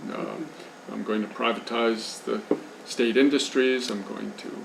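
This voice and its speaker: Amid noticeable background noise and audible room echo, a man talks at a moderate pace. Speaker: journalist and speaker on Haiti. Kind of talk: lecture.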